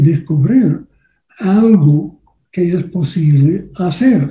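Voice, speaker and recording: With a non-native accent, a man speaks in a dark, mellow tone with ordinary pitch variation. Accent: foreign, non-native Spanish. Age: old. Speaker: political campaign consultant. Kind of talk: workshop lecture. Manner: halting, many fillers.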